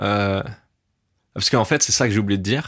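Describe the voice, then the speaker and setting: The background is silent and the recording very clean. A man does the talking. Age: 20s. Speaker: former stand-up comedian. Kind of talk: casual interview. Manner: casual, hesitant with filler words.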